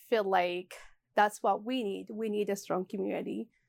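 On a very clean recording with a silent background, a woman with an Ethiopian accent speaks at a moderate pace and a medium pitch. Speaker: market co-owner and community leader. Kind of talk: interview answers. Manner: halting, many fillers.

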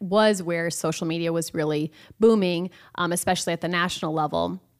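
On a very clean recording with a silent background, a woman speaks with a Midwestern American accent. Her medium-pitched voice moves at a moderate pace with ordinary pitch variation. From Iowa. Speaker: social media company founder. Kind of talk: radio interview. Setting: studio.

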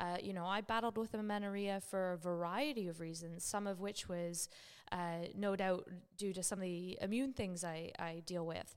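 A woman with a normal speaking voice, at a moderate pace and with fairly even intonation. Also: medium pitch for a woman. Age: 30s. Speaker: health clinician and podcast co-host. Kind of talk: casual chat.

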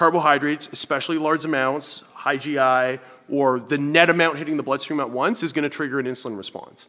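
Talking at a very fast pace, a man speaks with a Canadian accent. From Northern Ontario, Canada. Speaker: fitness coach and nutrition expert. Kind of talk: casual interview, explaining.

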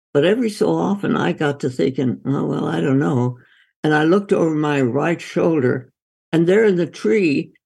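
This woman has a very deep, low pitch with very wide pitch swings, vocal fry and a dark, mellow tone. She talks at a moderate pace. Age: 80s+. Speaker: doctor and author. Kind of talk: interview conversation.

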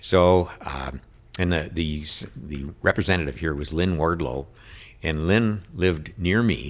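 Fairly slow speech from a man with an Upper Midwest accent, very deep and low in pitch, with vocal fry. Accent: Upper Midwest American. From Minnesota, Saint Paul area. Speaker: state senator. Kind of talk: interview conversation.

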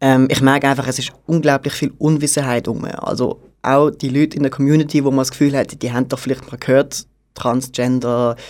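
Here is a man with an unremarkable speaking voice at a medium pitch. His intonation stays fairly even at a moderate pace. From Basel-Landschaft, Switzerland. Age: 30s. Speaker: catering manager. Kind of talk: radio interview.

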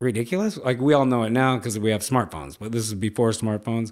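In a very clean recording with a silent background, a man speaks in an animated tone with an American accent. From Los Angeles, California. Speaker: professional skateboarder. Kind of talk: casual storytelling. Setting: studio.

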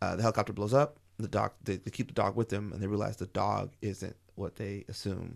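A man with an ordinary speaking voice talks at a fairly quick pace with hardly any pauses. His pitch is fairly low and his intonation fairly even. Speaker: podcaster. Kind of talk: casual chat.

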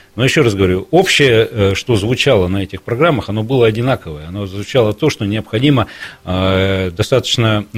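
This man has an unremarkable speaking voice at a fairly low pitch. He talks at a moderate pace with ordinary pitch variation. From Irkutsk, Siberia, Russia. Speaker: university rector. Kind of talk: radio talk show interview. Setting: radio studio.

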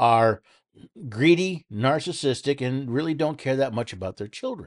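The sound is dry and close, with no echo. A man's lively intonation runs at a moderate pace. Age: 60s. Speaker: radio talk show host. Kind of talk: political commentary monologue. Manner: halting with repetitions.

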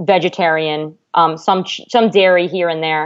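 An American accent marks this woman's speech. She talks at a moderate pace. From New Jersey. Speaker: high school counselor. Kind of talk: casual interview chat.

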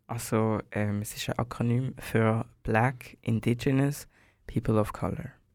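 Very slow speech from a man, intonation fairly even. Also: medium pitch for a man, very clean recording, silent background. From Switzerland, Basel. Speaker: singer and bassist. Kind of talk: casual interview. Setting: studio.

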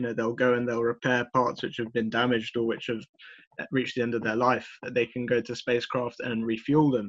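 A normal speaking voice with fairly even intonation. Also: man. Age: 20s. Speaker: aerospace engineer. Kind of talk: casual interview.

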